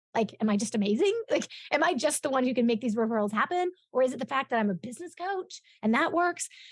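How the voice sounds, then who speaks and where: Very fast speech with very wide pitch swings, in an American accent. The sound is dry and close, without echo. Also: woman, high pitch for a woman. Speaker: referral business coach. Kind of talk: interview. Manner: energetic.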